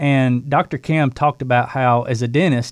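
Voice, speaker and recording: A man talks in a normal speaking voice at a medium pitch and moderate pace, with ordinary pitch variation. The recording is very clean, with a silent background. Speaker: running program co-host. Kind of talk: casual chat.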